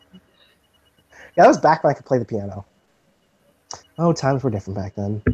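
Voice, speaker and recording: A man with a medium pitch speaks very fast and somewhat breathily, with lively intonation and big swings in loudness. His long, frequent pauses sit in a dry, close sound with no echo. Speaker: video chat show host. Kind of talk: casual chat. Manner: formal-sounding; animated.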